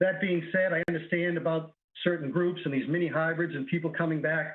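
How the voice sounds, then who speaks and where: This man's voice is high-pitched, with monotone, flat intonation. His pace is fairly quick. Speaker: special education teacher. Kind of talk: public comment. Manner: fast.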